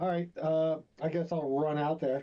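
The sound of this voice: A man talks at a fairly high pitch and a moderate pace. His pitch moves very little.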